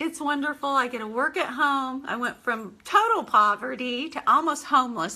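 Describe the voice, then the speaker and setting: A woman's high-pitched, animated voice with ordinary pitch variation over noticeable background noise. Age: 50s. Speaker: home business owner. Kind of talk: live stream monologue. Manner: halting, with fillers.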